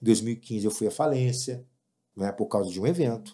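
In a very clean recording with a silent background, a man talks fairly quickly in a dark, mellow tone at medium pitch with ordinary pitch variation. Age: 50s. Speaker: event producer and music promoter. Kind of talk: casual chat.

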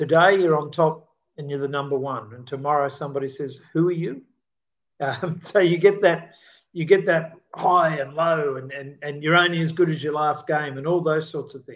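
A man speaks with a fairly high pitch and fairly even intonation against a quiet background. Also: moderate pace, big swings in loudness. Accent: Australian. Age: 60s. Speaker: podcast co-host. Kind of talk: casual chat.

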